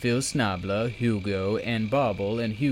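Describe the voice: Ordinary pitch variation marks this plain reading aloud.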